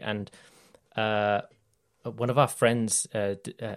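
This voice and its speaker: A man with a British accent at a fairly quick pace, on a very clean recording with a silent background. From Britain. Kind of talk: casual chat.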